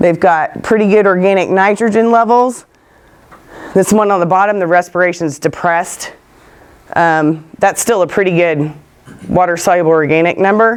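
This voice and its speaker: In a Texan accent, a woman with a medium pitch keeps her loudness very even while taking long, frequent pauses. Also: ordinary pitch variation, moderate pace. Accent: Texan Southern US. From West Texas. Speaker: soil scientist speaker. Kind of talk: conference talk with questions.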